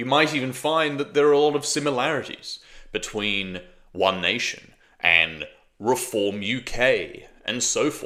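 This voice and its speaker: The speaker has an Australian accent, lively intonation and a bright, sharp tone with vocal fry. The pace is fairly slow. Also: man, medium pitch for a man. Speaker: political commentator. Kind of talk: political commentary monologue. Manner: casual, conversational.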